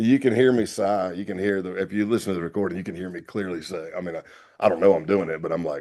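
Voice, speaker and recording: Over a quiet background, a man with a Southern accent speaks very fast at a fairly low pitch with ordinary pitch variation. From US South. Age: 50s. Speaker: retired FBI agent. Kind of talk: interview storytelling.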